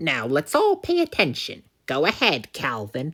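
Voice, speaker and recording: A woman uses a put-on character voice at a very deep, low pitch and a moderate pace, on a very clean recording with a silent background. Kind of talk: hammy fan voice acting. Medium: audio drama. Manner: formal, controlled.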